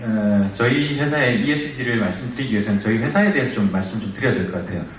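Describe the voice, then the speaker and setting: Fairly quick male speech amid noticeable background noise, with audible room echo. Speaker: company representative presenting. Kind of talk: conference presentation. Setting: conference hall with audience. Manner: fast.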